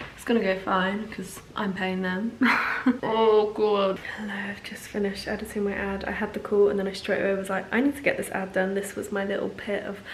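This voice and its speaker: A woman speaks with an English accent at a fairly quick pace, with a medium pitch and monotone, flat intonation. Audible room echo and noticeable background noise surround her voice. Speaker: actor and vlogger. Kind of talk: casual vlog. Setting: outdoors.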